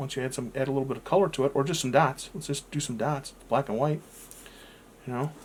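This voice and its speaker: Somewhat breathy and fairly even in intonation, a man speaks at a very fast pace. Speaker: art tutorial youtuber. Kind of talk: tutorial. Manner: halting, many fillers.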